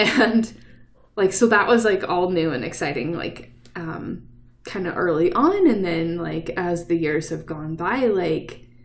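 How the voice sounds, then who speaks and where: A woman's fairly low voice at a fairly slow pace, ordinary pitch variation, audible room echo. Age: 30s. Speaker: podcast host. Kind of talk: casual chat. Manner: animated.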